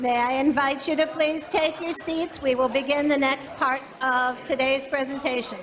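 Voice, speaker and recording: A loud woman with a high pitch comes through with audible room echo and noticeable background noise. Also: fairly even intonation, moderate pace. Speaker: meeting moderator. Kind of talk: meeting announcements. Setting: church meeting with live stream.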